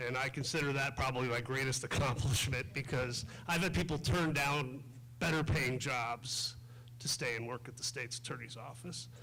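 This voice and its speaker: With a medium pitch and fairly even intonation, this man talks at a moderate speed. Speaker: state's attorney, election candidate. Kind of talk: candidate forum speech. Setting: school library forum with audience, microphone. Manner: loud.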